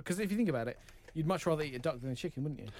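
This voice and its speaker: A man speaks with lively intonation in an English accent. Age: 30s. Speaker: radio producer. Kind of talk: casual chat.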